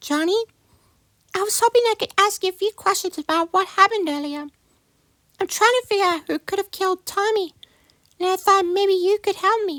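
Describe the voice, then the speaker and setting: In a put-on character voice, a woman speaks at an extremely high pitch and a fairly quick pace, with ordinary pitch variation, long and frequent pauses, and a dry, close sound with no echo. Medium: machinima. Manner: polite, earnest questioning.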